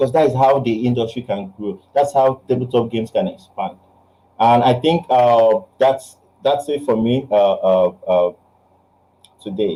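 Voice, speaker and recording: Speaking with a Nigerian accent, a man with a medium pitch and a dark, mellow tone talks at a fairly slow pace. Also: ordinary pitch variation. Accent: Nigerian English (Igbo). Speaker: game designer and publisher. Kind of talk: online talk Q&A.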